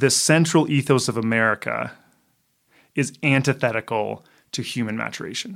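Marked by vocal fry, a man talks with a Canadian accent and ordinary pitch variation. He leaves long, frequent pauses. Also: medium pitch for a man, moderate pace. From Canada. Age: 40s. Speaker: author. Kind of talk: casual chat.

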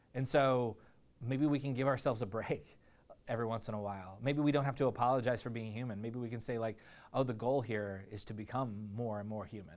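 This man speaks at a fairly quick pace with ordinary pitch variation. The recording is very clean, with a silent background. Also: medium pitch for a man. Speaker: preacher. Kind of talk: sermon. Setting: church with live audience. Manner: halting, filler-heavy, casual.

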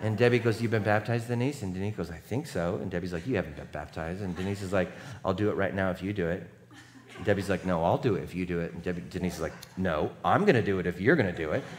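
Talking at a very fast pace, a man with a very deep, low pitch is heard with audible room echo. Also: ordinary pitch variation. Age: 40s. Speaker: pastor. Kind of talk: sermon.

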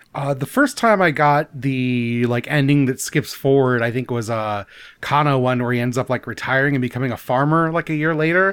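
A man with a normal speaking voice and medium pitch talks at a moderate pace with hardly any pauses. His pitch varies in an ordinary way, in a very clean recording with a silent background. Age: 30s. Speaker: podcast co-host, game club host. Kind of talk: casual chat.

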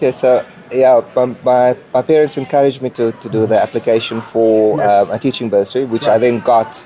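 A man at a medium pitch, fairly quick pace and fairly even intonation, with noticeable background noise. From South Africa, Port Elizabeth. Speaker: comic book artist. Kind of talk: interview. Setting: comics convention.

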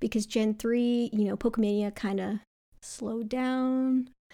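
A woman with an American accent and a dark, mellow tone speaks at a moderate pace and fairly high pitch, with ordinary pitch variation, on a very clean recording with a silent background. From US East Coast. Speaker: streamer. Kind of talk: casual chat. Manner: animated.

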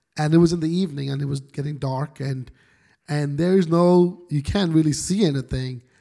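At a fairly quick pace, the voice carries a dark, mellow tone. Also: man, fairly high pitch for a man, ordinary pitch variation. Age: 40s. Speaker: lead pastor. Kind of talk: casual interview.

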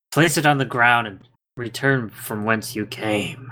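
This man speaks in a put-on character voice. His pitch is medium and his pace moderate. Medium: actual play. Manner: curt, imperious.

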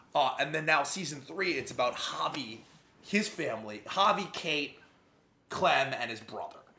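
A man speaks at a moderate pace with a fairly high pitch that swings very widely. Noticeable background noise and audible room echo fill the recording. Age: 30s. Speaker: podcast co-host. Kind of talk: casual chat.

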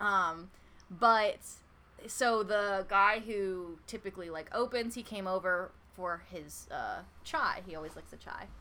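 A woman with an American accent, medium pitch and ordinary pitch variation, a bright, sharp tone, big swings in loudness, and a fairly slow pace. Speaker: podcast co-host. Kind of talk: casual chat. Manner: animated.

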